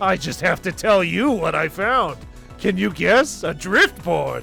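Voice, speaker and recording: Over clear music in the background, a man uses a raspy, put-on character voice pitched high. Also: fairly slow pace. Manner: eager, excited.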